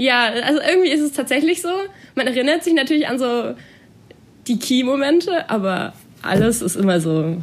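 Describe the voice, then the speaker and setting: A woman uses a high pitch with very wide pitch swings and long, frequent pauses. Noticeable background noise is present. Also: moderate pace. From Baden-Württemberg, near Stuttgart. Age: 20s. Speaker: student and dancer. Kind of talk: casual interview.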